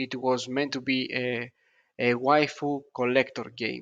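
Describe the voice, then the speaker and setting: A speaker with a non-native accent talks at a very slow pace. The background is quiet. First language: not English. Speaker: gaming video creator. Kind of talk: reaction commentary. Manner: halting, many fillers.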